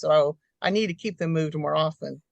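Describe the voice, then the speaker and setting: Dry and close with no echo, a woman's voice moves at a moderate pace with lively intonation. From Alaska and US military towns. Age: 60s. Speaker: homesteader. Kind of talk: interview. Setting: video call.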